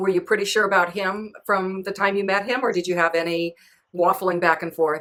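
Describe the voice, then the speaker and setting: Speaking at a fairly quick pace, a woman with a normal speaking voice keeps a medium pitch and fairly even intonation. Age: 60s. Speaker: author and podcast host. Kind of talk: interview.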